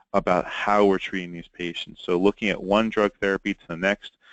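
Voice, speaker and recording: The speaker has a New York accent and talks at a fairly quick pace. The sound is dry and close, with no echo. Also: man, quiet background. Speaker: pharmacist presenting a webinar. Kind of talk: webinar lecture. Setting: webinar recording.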